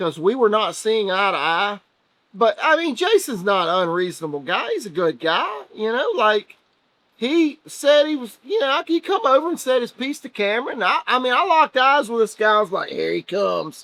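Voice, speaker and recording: A man with a Southern US accent uses a raised, projected voice at a high pitch. He keeps a moderate pace while his pitch swings very widely. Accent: US South. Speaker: race team member. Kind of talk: casual chat. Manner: loud.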